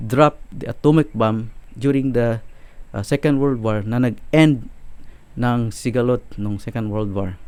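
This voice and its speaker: Here a man is speaking. He goes at a fairly slow pace. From Philippines. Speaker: YouTuber on Bible prophecy and world affairs. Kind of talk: monologue commentary video. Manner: hesitant, many filler sounds; Tagalog-English code-switching.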